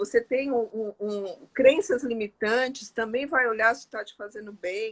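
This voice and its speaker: Her voice an unremarkable speaking voice, a woman talks at a fairly slow pace and fairly high pitch with ordinary pitch variation, hardly any pauses, and big swings in loudness. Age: 60s. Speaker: interview guest sharing life story. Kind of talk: testimony in casual interview.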